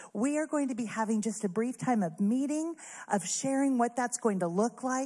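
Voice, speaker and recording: A woman with a normal speaking voice uses lively intonation at a fairly high pitch, on a very clean recording with a silent background. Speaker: church staff. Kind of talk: prayer. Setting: church.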